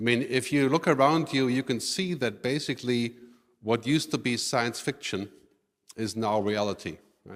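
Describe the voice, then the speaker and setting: On a very clean recording with a silent background, a man with a German accent speaks at a medium pitch and moderate pace, with ordinary pitch variation. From Germany. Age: 50s. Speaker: futurist speaker. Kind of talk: conference keynote. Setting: stage with audience.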